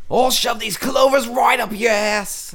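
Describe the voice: Using a put-on character voice at an extremely high pitch, a man speaks at a moderate pace over noticeable background noise.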